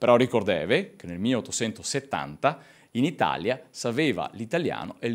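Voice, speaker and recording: A man speaks at a fairly slow pace and medium pitch, with vocal fry. His loudness swings widely. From Veneto. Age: 30s. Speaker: lecturer on Venetian language. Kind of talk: lecture. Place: hall. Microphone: podium.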